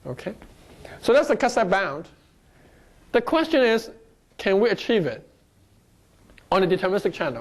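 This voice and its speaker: A speaker with a slight non-native accent talks at a moderate pace against a quiet background. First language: not English. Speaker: lecturer. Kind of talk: lecture.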